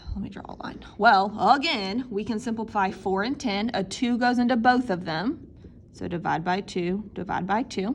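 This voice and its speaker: This is a normal speaking voice. A woman speaks at medium pitch and moderate pace with ordinary pitch variation. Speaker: math teacher. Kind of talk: tutorial.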